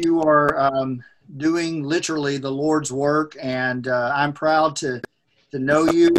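Using a normal speaking voice with an American accent, a man with a fairly high pitch talks at a fairly slow pace with fairly even intonation. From poorest county in America, US. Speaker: podcast host. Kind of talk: interview.

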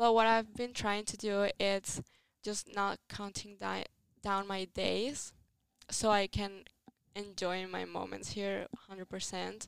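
A woman with a strong Italian accent speaks at a very slow pace and medium pitch. Her intonation is monotone and flat, and the sound is dry and close with no echo. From Italy. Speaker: podcast host, exchange student. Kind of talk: casual chat.

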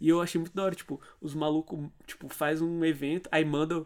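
At a moderate pace, a man talks in a fairly high voice with monotone, flat intonation. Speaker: student radio host. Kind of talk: casual chat.

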